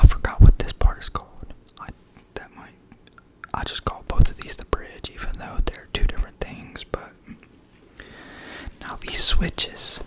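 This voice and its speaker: Through noticeable background noise, a whisper proceeds at a moderate pace, broken by long, frequent pauses. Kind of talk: ASMR educational talk, guitar lesson. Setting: close-mic ASMR recording with guitar sounds.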